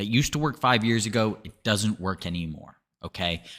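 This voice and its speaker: The tone is bright and sharp. The pace is fairly quick, with ordinary pitch variation. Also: man. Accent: American. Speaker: lead generation agency founder. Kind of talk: sales pitch.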